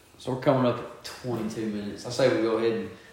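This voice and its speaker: A man talks very rapidly while noticeable background noise and audible room reverberation fill the recording. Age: 20s. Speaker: podcast co-host. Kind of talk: casual chat.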